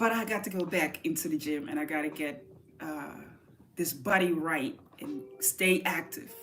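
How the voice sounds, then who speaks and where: With an American accent, a woman talks at a fairly low pitch and a moderate pace, her tone animated and her intonation lively. Noticeable background noise is present. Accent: American-sounding English. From southern Netherlands. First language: Dutch. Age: 40s. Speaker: artist. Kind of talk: casual livestream chat.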